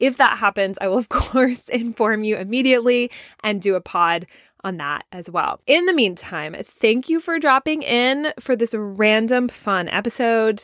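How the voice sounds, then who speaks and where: An animated voice with a slight Southern US accent moves at a moderate pace, recorded dry and close with no echo, very clean, against a silent background. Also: woman, fairly high pitch for a woman, lively intonation. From US South. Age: 30s. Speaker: podcast host. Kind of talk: solo podcast monologue.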